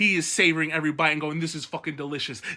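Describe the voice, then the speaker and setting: A raised, projected male voice with a bright, sharp tone. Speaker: book commentary youtuber. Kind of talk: casual ranking commentary. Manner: fast; animated.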